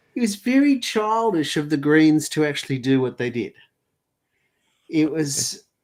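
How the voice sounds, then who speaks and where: A man with an Australian accent talks at a moderate pace in a fairly high voice, his pitch swinging very widely. He leaves long, frequent pauses, and the recording is very clean with a silent background. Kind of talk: podcast discussion.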